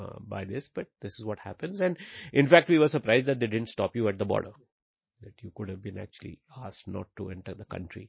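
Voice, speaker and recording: A man talks very fast in a somewhat breathy, fairly low voice, with lively intonation and big swings in loudness. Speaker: education entrepreneur. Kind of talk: interview.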